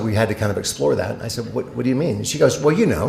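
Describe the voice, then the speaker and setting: An animated tone with audible room echo and noticeable background noise. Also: man. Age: 60s. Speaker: motivational speaker. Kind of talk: keynote speech.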